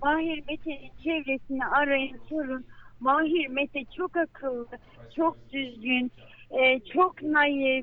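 A woman talks at a very slow pace, her high pitch held in fairly even intonation. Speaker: mother of a missing migrant. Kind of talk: phone interview. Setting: phone call. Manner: emotional.

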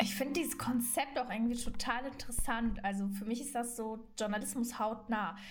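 Hardly pausing, a woman talks at a fairly quick pace and a fairly high pitch, with audible room echo and noticeable background noise. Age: 20s. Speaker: trainee journalist and reporter. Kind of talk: casual podcast introduction. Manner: enthusiastic, youthful slang.

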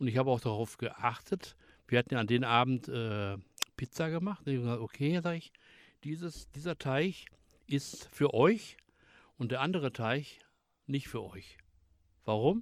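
At a fairly slow pace, a man speaks in a medium pitch with lively intonation. Long, frequent pauses break up his speech. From Germany, Ruhr area (Bottrop). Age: 60s. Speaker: retired forklift driver. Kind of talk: casual chat.

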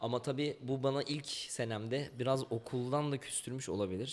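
A man talks at a moderate pace in a normal speaking voice with ordinary pitch variation. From Ankara, Turkey. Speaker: rapper. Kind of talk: interview.

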